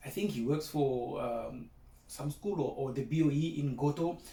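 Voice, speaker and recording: A somewhat breathy voice with a dark, mellow tone moves at a fairly slow pace, with ordinary pitch variation and audible room echo. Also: man. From South Africa, small Afrikaans-speaking town. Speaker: broadcast meteorologist, former teaching assistant. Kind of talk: keynote speech. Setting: video recording at home. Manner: casual, hesitant with fillers.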